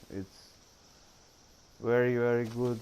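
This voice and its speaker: A man with a non-native accent speaks at a very slow pace. His voice sits at a medium pitch. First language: not English. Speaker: gaming youtuber. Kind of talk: gameplay commentary. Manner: halting.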